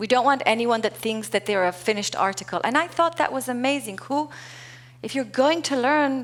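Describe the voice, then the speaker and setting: At a moderate pace, a woman with a non-native accent speaks in a high voice with lively intonation. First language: not English. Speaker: keynote speaker, corporate culture and leadership executive. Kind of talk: conference keynote talk.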